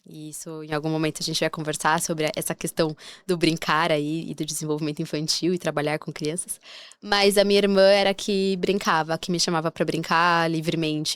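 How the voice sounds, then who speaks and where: A woman with a very deep, low pitch talks at a fairly quick pace with fairly even intonation, in a very clean recording with a silent background. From southern Brazil, Curitiba. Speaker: neuropsychologist and podcast host. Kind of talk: personal storytelling monologue. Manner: casual, conversational with hesitations.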